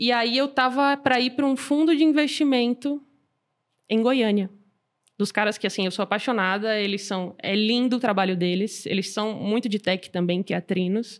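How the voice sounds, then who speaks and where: At a moderate pace, a woman with a fairly high pitch and an unremarkable speaking voice uses ordinary pitch variation in a very clean recording with a silent background. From Brazil, Salvador (Bahia). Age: 20s. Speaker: startup founder and CEO, angel investor. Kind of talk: casual interview.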